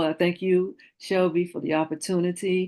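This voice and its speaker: A woman's dark, mellow, monotone voice with flat intonation over a quiet background. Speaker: author and bereaved mother. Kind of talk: guest interview.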